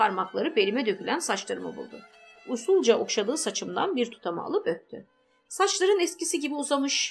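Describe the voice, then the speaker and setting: A woman's high voice at a fairly quick pace, with very wide pitch swings, over music in the background. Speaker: audiobook narrator. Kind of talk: audiobook novel reading.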